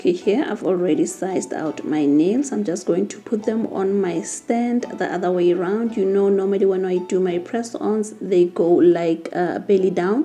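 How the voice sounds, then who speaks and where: A woman at a moderate pace with hardly any pauses, amid noticeable background noise. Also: medium pitch for a woman, ordinary pitch variation. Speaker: nail tech content creator. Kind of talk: tutorial. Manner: halting.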